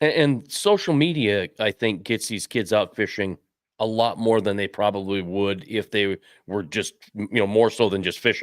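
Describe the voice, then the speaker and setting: In a very clean recording with a silent background and a dry, close sound with no echo, a man speaks at a moderate pace in a fairly low pitch with ordinary pitch variation. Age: 60s. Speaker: fishing podcast co-host. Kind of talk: casual chat. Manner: animated.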